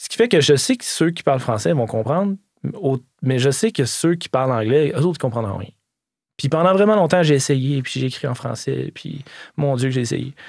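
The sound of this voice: A man's medium-pitched voice with vocal fry and a slightly mellow tone, fairly quick pace and lively intonation.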